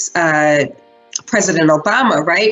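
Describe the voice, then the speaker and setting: A woman with a western New York accent, against noticeable background noise. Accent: western New York American. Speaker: teach-in presenter. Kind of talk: virtual workshop presentation. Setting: virtual event. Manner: fast.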